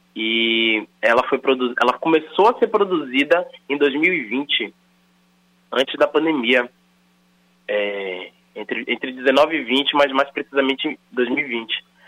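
The intonation is lively while the pace stays very slow. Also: man, fairly high pitch for a man. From Salvador, Bahia, Brazil. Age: 30s. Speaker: rapper and actor. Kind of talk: interview.

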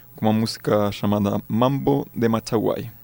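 At a moderate pace, a man with a Spanish accent speaks with ordinary pitch variation. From Chile, Magallanes. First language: Spanish (speaking Portuguese). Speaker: music researcher. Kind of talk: interview.

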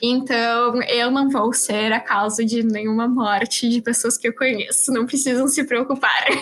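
Over noticeable background noise, the speaker goes at a fairly slow pace with monotone, flat intonation. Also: woman, high pitch for a woman. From Rio Grande do Sul, Brazil (Osório, north coast). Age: 20s. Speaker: young scientist. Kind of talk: interview.

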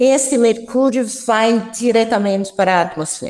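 The speaker is a woman. Her intonation is lively. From France. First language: French (speaking Portuguese). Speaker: chemistry professor. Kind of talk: radio interview. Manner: halting.

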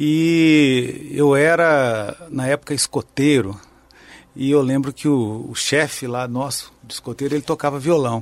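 A man with an ordinary speaking voice, fairly high in pitch, at a fairly slow pace. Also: fairly even intonation. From southern Minas Gerais, Brazil (Pouso Alegre). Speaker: guitarist and composer. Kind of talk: interview.

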